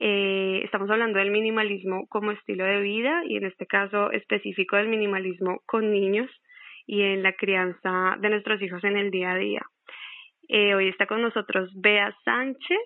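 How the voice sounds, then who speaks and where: An unremarkable speaking voice, a woman's medium pitch comes at a moderate pace with fairly even intonation. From Colombia. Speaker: podcast host. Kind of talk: casual interview.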